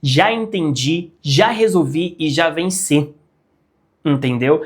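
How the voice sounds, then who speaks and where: A high-pitched male voice, animated in tone with ordinary pitch variation, on a very clean recording with a silent background. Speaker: digital marketing YouTuber. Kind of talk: casual tutorial.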